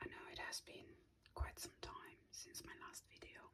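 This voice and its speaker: Someone whispers at a fairly slow pace. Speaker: ASMR artist. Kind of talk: ASMR drawing whisper video. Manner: whispered.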